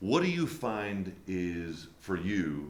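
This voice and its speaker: A booming man speaks with a very deep, low pitch and ordinary pitch variation, with audible room echo around him. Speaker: podcast host. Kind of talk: interview.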